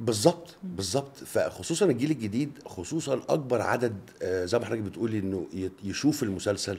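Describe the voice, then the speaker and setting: A man speaks with a dark, mellow, somewhat breathy tone. He leaves hardly any pauses. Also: lively intonation, moderate pace. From Egypt. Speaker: actor. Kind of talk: radio interview answer. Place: studio. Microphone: studio mic.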